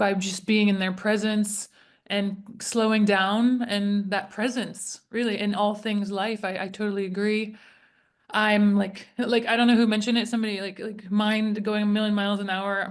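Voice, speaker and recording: A woman speaks at a moderate pace in a medium-pitched voice with monotone, flat intonation. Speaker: webinar participant. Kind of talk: casual chat.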